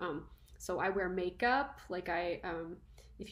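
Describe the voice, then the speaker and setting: A woman speaks with ordinary pitch variation. Audible room echo and noticeable background noise surround her. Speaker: university lecturer. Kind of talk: lecture. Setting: recording at home. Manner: casual, conversational.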